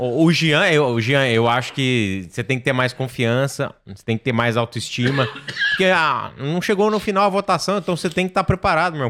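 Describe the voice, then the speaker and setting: A man speaks with hardly any pauses and very wide pitch swings. Noticeable background noise runs underneath. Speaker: podcast co-host. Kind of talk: casual chat.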